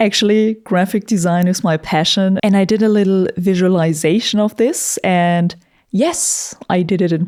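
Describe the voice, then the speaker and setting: Speaking in a non-native accent, a woman has a dark, mellow tone. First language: not English. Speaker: YouTuber and metal musician. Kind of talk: casual commentary monologue. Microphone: studio vocal microphone.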